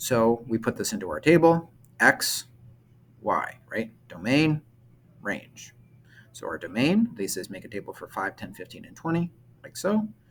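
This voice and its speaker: Over music in the background, the voice moves at a fairly slow pace with very wide pitch swings, big swings in loudness and long, frequent pauses. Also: man, fairly high pitch for a man. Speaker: middle school math teacher. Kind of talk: recorded math lesson. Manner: hesitant, many fillers.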